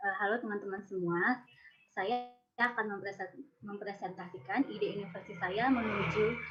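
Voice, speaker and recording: At an average speed, this woman talks in a plain, everyday voice. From West Sumatra, Indonesia. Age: 20s. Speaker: social forestry innovator presenting an idea. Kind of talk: presentation.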